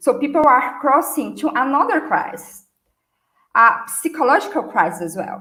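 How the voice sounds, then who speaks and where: Speaking at a very slow pace with a Brazilian accent, a woman's voice carries audible room echo. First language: Portuguese. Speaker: marketing and customer experience speaker. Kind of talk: conference talk. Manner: hesitant with fillers.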